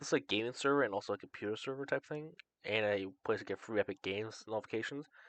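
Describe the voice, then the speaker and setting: In a dry, close recording with no echo, a man with a medium pitch and ordinary pitch variation speaks at a very fast pace. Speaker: gaming podcast co-host. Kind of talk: casual chat.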